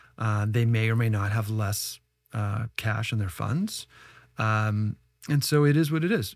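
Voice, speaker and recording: This is an ordinary speaking voice from a man with a Canadian accent, pitched medium. He talks at a fairly slow pace with ordinary pitch variation on a very clean recording with a silent background. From Canada, Ottawa. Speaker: tech entrepreneur and investor. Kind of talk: podcast interview.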